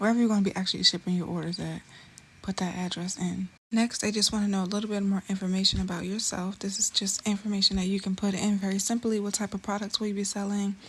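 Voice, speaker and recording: A somewhat breathy woman's voice, medium in pitch, very fast and monotone with flat intonation. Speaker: beauty business YouTuber. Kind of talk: tutorial. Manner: casual and chatty.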